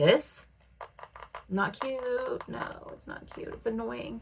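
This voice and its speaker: Through noticeable background noise, a woman with an American accent speaks in an animated tone at a fairly slow pace. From Ohio, US Midwest. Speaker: beauty YouTuber. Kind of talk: casual chat.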